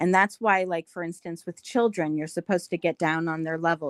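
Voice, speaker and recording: Recorded very cleanly against a silent background, the sound is dry and close with no echo, carrying a plain, everyday voice with ordinary pitch variation. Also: woman. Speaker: panelist on discussion podcast. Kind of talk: panel discussion.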